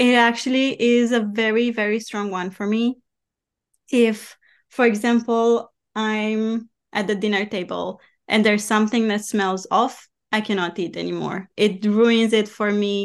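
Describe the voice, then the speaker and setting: At a fairly slow pace, a woman speaks fairly high in pitch with monotone, flat intonation against a quiet background. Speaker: podcast host. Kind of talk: casual interview chat. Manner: warm, friendly.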